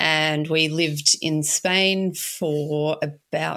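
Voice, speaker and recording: A woman speaks with an Australian accent. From Australia, Melbourne (St Kilda). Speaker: small business owner. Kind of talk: interview.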